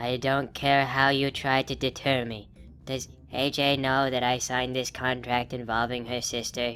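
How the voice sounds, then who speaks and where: A cartoonish character voice speaks with monotone, flat intonation at a low-to-middle pitch and a moderate pace. Clear background noise is heard. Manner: soft, timid.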